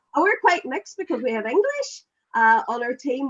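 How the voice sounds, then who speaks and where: Her pitch swings very widely. A woman talks at a moderate pace in a Northern Irish accent. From Ireland. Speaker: quiz team captain. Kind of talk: casual chat.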